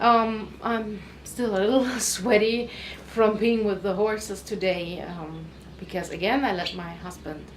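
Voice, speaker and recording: Over noticeable background noise, a woman with a non-native accent talks at a fairly slow pace and medium pitch, with ordinary pitch variation and big swings in loudness. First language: not English. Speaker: weight loss vlogger. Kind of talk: casual talk to camera.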